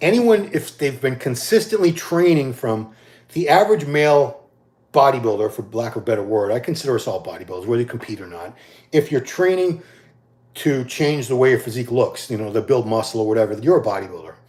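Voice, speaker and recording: A man at medium pitch, somewhat breathy, with very wide pitch swings and a very fast pace, on a very clean recording with a silent background. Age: 50s. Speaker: bodybuilding commentator answering live questions. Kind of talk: casual live-stream Q&A. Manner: casual, with many false starts and fillers.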